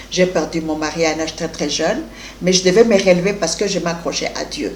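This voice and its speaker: Noticeable background noise and audible room echo surround the speaker. She is a woman at a medium pitch with ordinary pitch variation. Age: 60s. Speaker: life coach and business owner. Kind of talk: interview.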